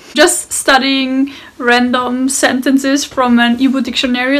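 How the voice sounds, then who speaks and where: Over noticeable background noise, a woman with a German accent speaks in a high pitch with monotone, flat intonation. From Austria. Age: 20s. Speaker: interview guest. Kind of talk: interview monologue.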